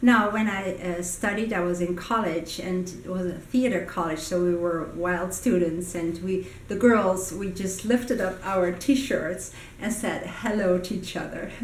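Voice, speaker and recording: A woman's medium-pitched voice with ordinary pitch variation and hardly any pauses, over noticeable background noise and audible room echo. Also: fairly slow pace. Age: 60s. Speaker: communication coach. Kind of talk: personal vlog monologue. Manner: hesitant with frequent fillers.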